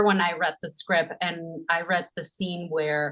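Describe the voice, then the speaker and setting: A woman speaks at a very slow pace. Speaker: actress. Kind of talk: interview.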